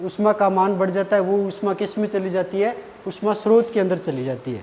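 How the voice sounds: A man speaks with a high pitch. His tone is slightly mellow.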